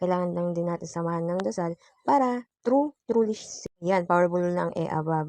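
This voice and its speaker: A woman speaks with lively intonation and a playful tone, her fairly low voice dark and mellow, recorded dry and close with no echo against a quiet background. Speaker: vlogger. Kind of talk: vlog voice-over narration. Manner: occasionally stumbling; casual, playful. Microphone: phone voice recording.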